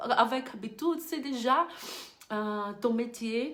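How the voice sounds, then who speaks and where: A woman with a Brazilian accent at a very slow pace, her intonation lively. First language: Portuguese (speaking French). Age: 30s. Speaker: beauty business coach. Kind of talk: online course lesson. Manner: halting.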